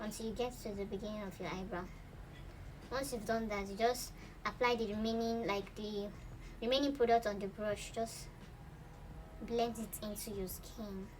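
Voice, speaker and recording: Moderate in pace and fairly even in intonation, the speech has long, frequent pauses and audible room echo. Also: woman, fairly high pitch for a woman. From Nigeria. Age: 20s. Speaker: beauty vlogger. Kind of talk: tutorial.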